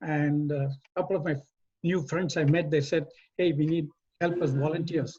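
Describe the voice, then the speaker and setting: This man's voice has a dark, mellow tone and a fairly high pitch. His monotone, flat intonation moves at a moderate pace. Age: 80s+. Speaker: retired engineer and community volunteer. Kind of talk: community talk. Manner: halting.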